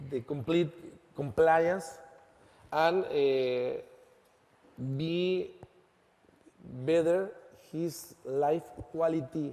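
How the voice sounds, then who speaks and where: A man with a Spanish accent speaks at a very slow pace. His pitch is fairly high and his intonation fairly even. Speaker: lawyer and law firm founder. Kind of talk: conference presentation. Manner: halting.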